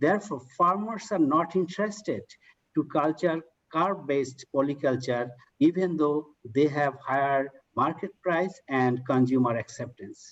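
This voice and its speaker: With ordinary pitch variation, a man talks at a fairly high pitch. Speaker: researcher presenting study. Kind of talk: conference presentation. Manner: halting; fast.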